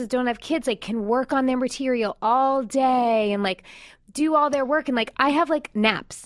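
A woman with an American accent speaks at a moderate pace. Her pitch is high, with ordinary pitch variation. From New York. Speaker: podcast co-host. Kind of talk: casual chat and interview.

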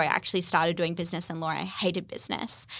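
A woman's bright, sharp tone on a very clean recording with a silent background. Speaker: podcaster and former lawyer. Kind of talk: casual chat. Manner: stutters on words.

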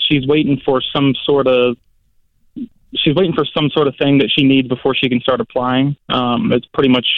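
An unremarkable speaking voice with an American accent holds fairly even intonation. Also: man. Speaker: caller. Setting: phone call.

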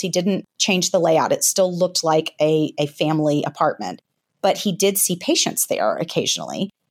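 Woman of medium pitch with a Southern US accent, in a very clean recording with a silent background. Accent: light Southern US. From US South. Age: 40s. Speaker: author. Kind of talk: interview. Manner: fast talker.

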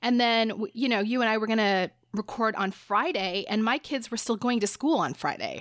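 This woman has a normal speaking voice, fairly high in pitch, with ordinary pitch variation. She talks at a moderate pace with very even loudness. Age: 40s. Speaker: podcast host, psychotherapist. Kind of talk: casual chat.

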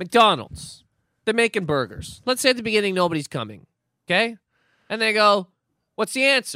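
A raised, projected voice, bright and sharp in tone, with lively intonation, a moderate pace and long, frequent pauses. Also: man, high pitch for a man, very clean recording, silent background. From Nova Scotia, Canada. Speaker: comedian. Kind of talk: casual chat.

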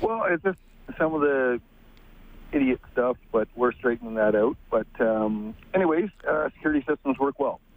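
At a moderate pace, a man with a plain, everyday voice speaks at a medium pitch with lively intonation and very even loudness. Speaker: caller. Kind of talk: call-in radio talk. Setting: phone call.

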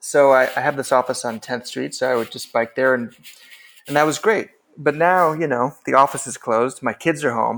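With an American accent and a medium pitch, a man speaks in a plain, everyday voice with ordinary pitch variation on a very clean recording with a silent background. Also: moderate pace. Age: 50s. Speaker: novelist and writing teacher. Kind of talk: casual interview.

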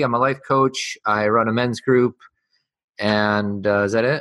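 A man talks at a fairly slow pace in a bright, sharp tone. His intonation is fairly even, and the background is quiet. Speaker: life coach. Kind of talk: interview.

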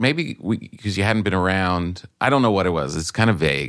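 An unremarkable speaking voice at a moderate pace, lively in intonation, in a very clean recording with a silent background. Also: man. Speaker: comedian. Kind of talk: casual conversation.

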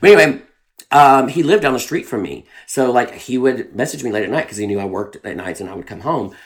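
A man's medium-pitched voice in a Southern US accent, very fast, with very wide pitch swings. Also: big swings in loudness. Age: 30s. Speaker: drag performer. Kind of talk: casual chat.

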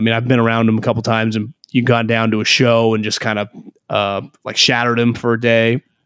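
A man with an American accent speaks at a medium pitch in a flat monotone, recorded dry and close with no echo. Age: 30s. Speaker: former football scout turned sports radio host. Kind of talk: casual interview chat. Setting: remote call. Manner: stammering restarts.

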